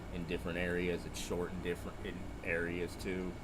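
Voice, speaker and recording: A soft-spoken man at a fairly quick pace, with audible room echo and noticeable background noise. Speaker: hunting companion. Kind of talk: casual chat. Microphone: far from the mic, too quiet.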